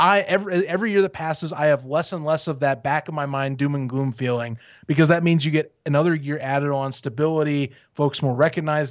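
An unremarkable speaking voice from a man, fairly high in pitch, with fairly even intonation at a fairly quick pace over a quiet background. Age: 20s. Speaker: sports podcast host. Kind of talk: casual chat. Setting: video call.

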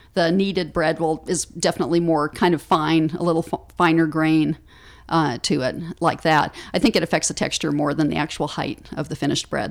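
This woman has a very deep, low pitch and fairly even intonation. She talks at a fairly quick pace on a very clean recording with a silent background. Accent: American. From US Pacific Northwest, Seattle. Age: 50s. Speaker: author and baking teacher. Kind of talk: casual interview. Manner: hesitant, with many fillers.

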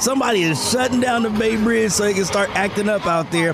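Music plays in the background beneath a voice with lively intonation. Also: man. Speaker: radio co-host, news segment. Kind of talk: morning radio banter and news teases. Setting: radio studio. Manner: casual, slangy.

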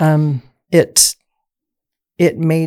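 A woman speaks with an American accent. The sound is dry and close, without echo. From Southeast Idaho, US. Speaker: state legislative candidate. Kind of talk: political interview.

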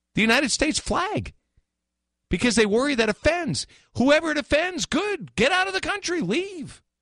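With an animated tone, a man speaks at an extremely high pitch, his voice swinging very widely up and down. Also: moderate pace. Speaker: radio host. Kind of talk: live talk radio, opinionated sports and news commentary. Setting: studio, live radio. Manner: animated, conversational, opinionated.

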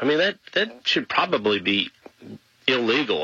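A man talks with lively intonation as noticeable background noise continues behind him. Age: 40s. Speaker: radio host. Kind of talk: radio talk show monologue.

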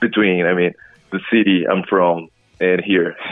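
With music in the background, a man speaks in a Portuguese accent. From Brazil. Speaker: rock singer and guitarist. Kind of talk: interview.

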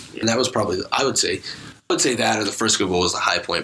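There is noticeable background noise as a man speaks at a very fast pace. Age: young. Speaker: student sports editor. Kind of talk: casual chat.

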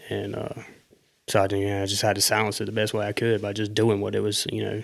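A man with a Southern US accent talks very fast in a fairly low voice with monotone, flat intonation. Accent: Southern US, country. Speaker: guest. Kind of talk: casual chat.

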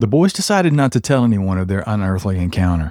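This man talks at a fairly quick pace and fairly low pitch, with a dark, mellow tone, lively intonation and a dramatic tone. The sound is dry and close with no echo, on a very clean recording with a silent background. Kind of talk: scripted narration of true paranormal and horror stories, read aloud. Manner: grave, measured, storyteller delivery with a dramatic, ominous tone; formal, polished phrasing read from a script.

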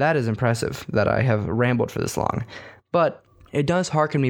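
In a very clean recording with a silent background, a man with a plain, everyday voice speaks at a moderate pace in a medium pitch, with ordinary pitch variation. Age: 20s. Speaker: podcast host. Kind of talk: casual solo monologue.

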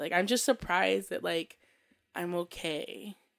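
A woman's voice with vocal fry. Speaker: podcast host. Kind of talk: casual chat.

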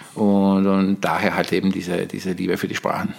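In a very clean recording with a silent background, a man with a Bosnian accent speaks at a moderate pace and a fairly low pitch. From Bosnia, Tuzla. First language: Bosnian (speaking German). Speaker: polyglot guest. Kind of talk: casual chat.

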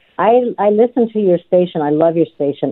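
With an American accent, a woman speaks at a fairly low pitch using lively intonation. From Nevada. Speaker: caller, retired nurse. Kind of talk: call-in. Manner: halting.

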